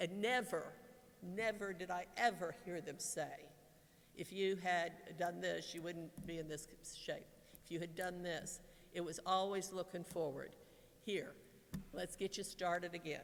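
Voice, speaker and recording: With long, frequent pauses, a woman speaks at a fairly low pitch and with fairly even intonation, and audible room echo surrounds her. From Kentucky, Lexington. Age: 60s. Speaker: retiring pastoral associate. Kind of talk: farewell speech. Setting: church. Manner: halting.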